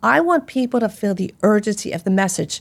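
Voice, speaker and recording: A woman speaks with an American accent at a moderate pace. Her pitch sits in the medium range. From US Northeast, Philadelphia. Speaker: gastroenterologist. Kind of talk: interview conversation. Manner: animated.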